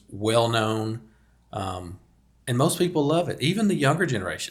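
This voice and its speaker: A man's speech is somewhat breathy and full of lively intonation. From rural Arkansas. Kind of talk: casual chat.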